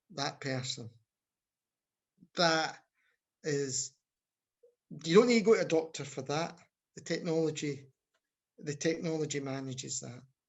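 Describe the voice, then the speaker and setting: A man with a slight Scottish accent speaks at a moderate pace in a fairly high pitch. His ordinary pitch variation is broken by long, frequent pauses. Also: big swings in loudness. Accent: Scottish, mild. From Scotland. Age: 50s. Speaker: health service researcher and academic. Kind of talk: podcast interview. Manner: halting, frequent restarts.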